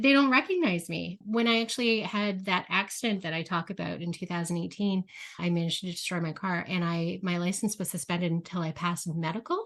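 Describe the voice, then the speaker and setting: Soft-spoken and medium-pitched, a woman talks at a fairly quick pace with hardly any pauses. Her pitch variation is ordinary. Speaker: podcast host. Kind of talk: interview.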